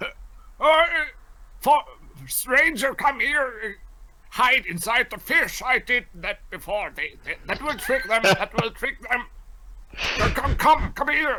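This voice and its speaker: In a put-on character voice with an extremely high pitch, a man speaks at a fairly slow pace with long, frequent pauses. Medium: actual play. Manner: halting, stammering.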